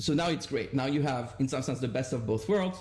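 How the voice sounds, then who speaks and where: A man with a fairly high pitch and vocal fry speaks with lively intonation. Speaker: economics professor, paper discussant. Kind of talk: academic seminar discussion.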